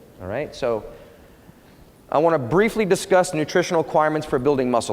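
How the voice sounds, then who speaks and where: Over noticeable background noise, a man talks at a very fast pace with a fairly high pitch, lively intonation and an energetic tone. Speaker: fitness educator / personal trainer presenter. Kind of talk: conference lecture / workshop. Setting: conference room with live audience. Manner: casual, energetic.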